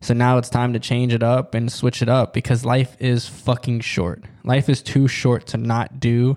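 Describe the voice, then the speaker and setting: This man uses a plain, everyday voice and keeps a moderate pace. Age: 20s. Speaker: podcast host. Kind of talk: casual monologue. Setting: studio.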